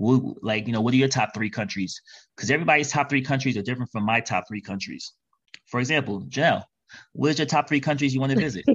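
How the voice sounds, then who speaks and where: Very fast and at medium pitch, a man with an American accent speaks with ordinary pitch variation. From New York City. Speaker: travel podcaster. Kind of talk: interview. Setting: remote call.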